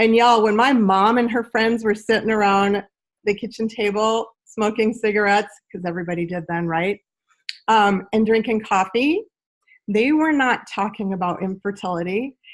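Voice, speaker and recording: With an animated tone, a woman talks at a moderate pace in a fairly high pitch with ordinary pitch variation. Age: 60s. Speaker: wellness network marketer. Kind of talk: sales pitch. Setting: video call.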